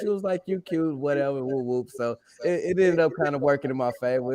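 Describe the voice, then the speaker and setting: A man with an Arkansas accent speaks with lively intonation. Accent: Southern US (Arkansas). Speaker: podcast co-host. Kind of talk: casual chat.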